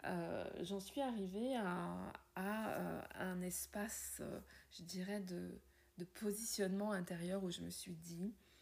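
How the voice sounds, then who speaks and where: The woman's delivery is very slow. Long pauses come often. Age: 50s. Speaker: podcaster and wellbeing coach. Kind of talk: personal monologue.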